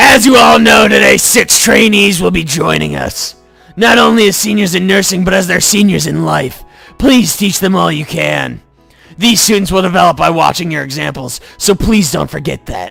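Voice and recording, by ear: A raspy, put-on character voice goes along at a moderate pace while faint music plays in the background. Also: man, high pitch for a man.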